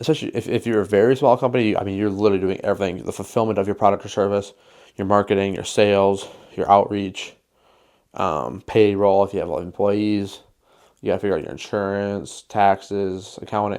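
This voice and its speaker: Here a man talks at a fairly quick pace with an American accent. His pitch is fairly low. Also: very clean recording, silent background. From western Wisconsin. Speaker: photographer and videographer, small business owner. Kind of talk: casual talking-head vlog. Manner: fast; casual, filler-heavy.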